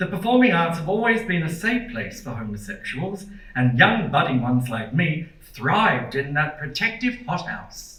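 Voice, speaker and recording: An Australian accent at a moderate pace, with hardly any pauses, very wide pitch swings, audible room echo and noticeable background noise. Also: man, high pitch for a man. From Australia, Melbourne (Port Melbourne). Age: 60s. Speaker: performer and lecturer. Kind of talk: lecture.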